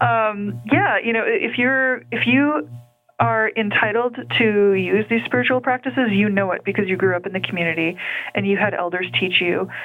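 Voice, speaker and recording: Lively intonation marks this woman's medium-pitched voice at a moderate pace. There is noticeable background noise. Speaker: podcast host, animal communicator and spirit medium. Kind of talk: casual interview conversation.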